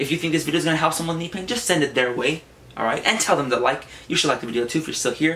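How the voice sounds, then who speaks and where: Over noticeable background noise, a man with a fairly high pitch races along at a very fast pace. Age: young. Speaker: fitness vlogger. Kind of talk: casual tutorial. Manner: casual.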